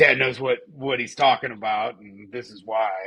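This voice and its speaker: Speaking at a moderate pace, a man uses a fairly low pitch with vocal fry and monotone, flat intonation. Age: 40s. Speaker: podcast co-host. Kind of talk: casual chat.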